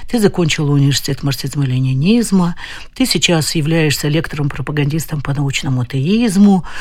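A woman at a moderate pace with lively intonation, audible room echo around her. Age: 70s. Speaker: visually impaired doctor. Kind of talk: interview.

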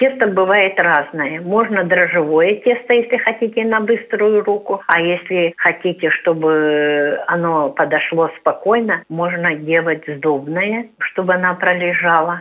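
A woman speaks at a very slow pace with hardly any pauses. Her fairly low pitch shows ordinary variation, and her loudness stays very even. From Kalmykia. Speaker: representative of a society for the blind. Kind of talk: radio interview about cooking. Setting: phone call.

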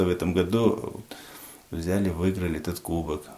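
Very deep, low speech from a man, with a dark, mellow tone and fairly even intonation. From Tajikistan. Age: 40s. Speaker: head of a local society for the blind. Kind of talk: radio interview.

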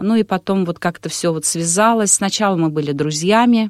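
An unremarkable speaking voice: a woman at a moderate pace with ordinary pitch variation, in a dry, close sound with no echo. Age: middle-aged. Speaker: wedding and event host. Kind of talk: interview.

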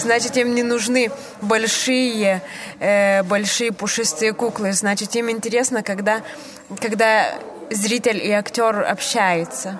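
A woman with a Lithuanian accent talks at a very slow pace in a fairly high pitch, pausing long and often. Noticeable background noise runs underneath. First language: Lithuanian (speaking Russian). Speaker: theatre director. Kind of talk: interview. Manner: halting.

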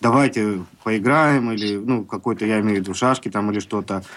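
A man with a medium pitch and ordinary pitch variation talks very fast. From Baltiysk, Kaliningrad region. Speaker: member of society of the blind. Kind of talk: radio interview.

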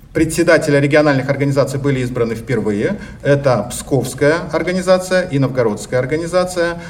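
Noticeable background noise and audible room echo surround a man. He speaks at a fairly quick pace with a fairly high pitch and ordinary pitch variation. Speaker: organization delegate. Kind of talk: conference speech. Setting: congress hall.

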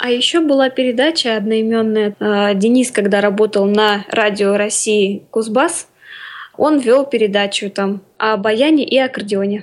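A woman's fairly high-pitched, unremarkable speaking voice at a fairly slow pace, with ordinary pitch variation and very even loudness. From Orenburg region, Russia. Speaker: composer, student. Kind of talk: radio interview.

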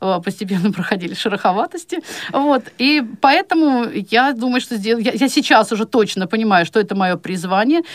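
A woman with an ordinary speaking voice talks at a moderate pace, her fairly high pitch carried by lively intonation. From Chuvashia, Russia. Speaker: blind law lecturer. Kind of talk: radio interview.

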